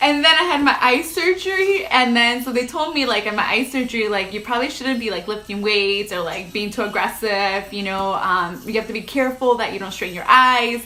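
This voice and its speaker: A woman speaks at a fairly quick pace in a fairly high pitch with lively intonation. Noticeable background noise and audible room echo come through. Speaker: lifestyle vlogger. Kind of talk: casual livestream chat. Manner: loud; casual, filler-heavy.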